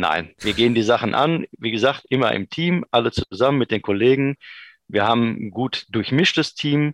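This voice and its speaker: A man's medium-pitched, ordinary speaking voice at a moderate pace, with lively intonation. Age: 50s. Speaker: vocational school department head. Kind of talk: interview.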